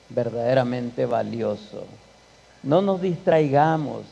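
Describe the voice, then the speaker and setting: This man's voice has a dark, mellow tone. He speaks very slowly, with audible room echo around him. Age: 60s. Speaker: guest speaker at a church. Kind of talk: church conference talk. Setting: church.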